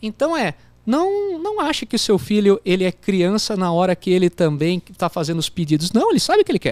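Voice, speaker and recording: With a slight São Paulo accent, a man speaks at a moderate pace and a high pitch, his pitch swinging very widely in a dry, close sound with no echo. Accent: slight countryside São Paulo. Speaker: business executive, CEO. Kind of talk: interview answer. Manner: casual, hesitant.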